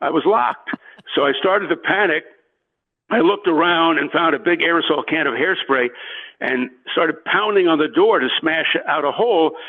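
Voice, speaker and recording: The man's voice is high-pitched, with ordinary pitch variation, very even loudness and a moderate pace. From New York. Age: 50s. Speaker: sports broadcaster. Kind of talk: interview storytelling. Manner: halting, many fillers.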